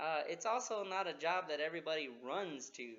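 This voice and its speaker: At a moderate pace, a man with a fairly high voice speaks with lively intonation. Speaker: army officer. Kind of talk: talk to schoolchildren. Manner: halting, many fillers.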